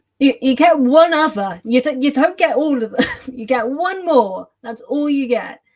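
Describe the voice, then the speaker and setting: A woman speaks with an English accent. Her pitch is high. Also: lively intonation, moderate pace. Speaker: author and YouTuber. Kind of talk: livestream chat. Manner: flustered, halting.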